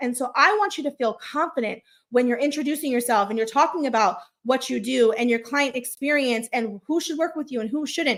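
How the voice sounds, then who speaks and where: A woman speaks in a high pitch at a fairly quick pace. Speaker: launch consultant and live-streaming coach. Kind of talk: live stream coaching talk. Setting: live stream. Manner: occasional stutter; casual, filler-heavy.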